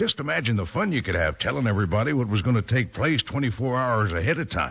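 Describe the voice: Fairly quick delivery with vocal fry, a slightly husky edge and a fairly bright tone. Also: man.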